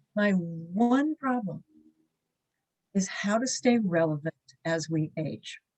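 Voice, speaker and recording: Very slow and somewhat breathy, a woman's voice swings very widely in pitch with long, frequent pauses, and the sound is dry and close with no echo. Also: medium pitch for a woman. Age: 60s. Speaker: business networking leader, writer on aging. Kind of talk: short talk on a problem.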